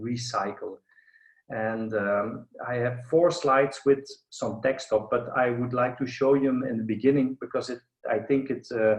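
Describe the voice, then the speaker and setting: Medium-pitched and fairly even in intonation, a man speaks with a Flemish accent. His pace is fairly slow. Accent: Flemish Belgian. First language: Dutch (Flemish). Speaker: architect and professor. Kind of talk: online lecture. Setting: video call. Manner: halting, many fillers.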